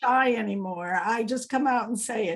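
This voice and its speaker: A woman's fairly high voice at a very slow pace, with ordinary pitch variation. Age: 60s. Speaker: travel agency owner. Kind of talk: casual interview chat. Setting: video call.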